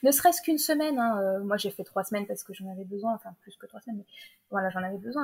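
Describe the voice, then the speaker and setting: A woman speaks with lively intonation. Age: 20s. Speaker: novelist. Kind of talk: interview.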